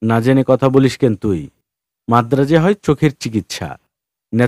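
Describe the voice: Ordinary pitch variation in a plain read-aloud passage, quiet in the background.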